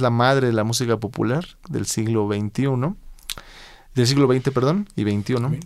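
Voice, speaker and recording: The background is silent and the recording very clean. A man talks at a moderate pace. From Mexico. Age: 30s. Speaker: blues guitarist. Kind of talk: interview. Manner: hesitant, frequent fillers.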